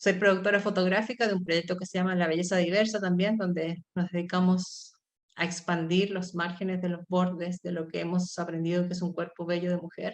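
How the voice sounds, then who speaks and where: A woman's fairly low, monotone, flat voice at a fairly quick pace with hardly any pauses. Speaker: artist and university lecturer. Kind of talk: artist talk.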